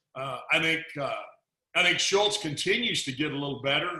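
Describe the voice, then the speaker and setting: The room echo is audible as a man speaks with a Texas accent. His pitch is fairly high, with ordinary variation. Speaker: football analyst. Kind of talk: casual chat. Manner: halting, repeats words.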